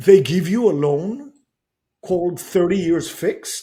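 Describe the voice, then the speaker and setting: Speaking at a moderate pace, a man with a slight non-native accent has a dark, mellow tone. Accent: slight foreign. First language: not English. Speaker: real estate investor and author. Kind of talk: podcast interview. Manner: animated.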